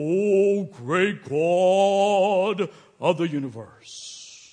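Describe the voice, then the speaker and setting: This put-on character voice moves at a very slow pace. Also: man, high pitch for a man. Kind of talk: formal prayer language. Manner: pious, showy.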